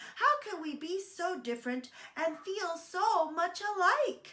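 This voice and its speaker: A woman puts on a squeaky character voice pitched extremely high. She talks at a fairly slow pace. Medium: read story.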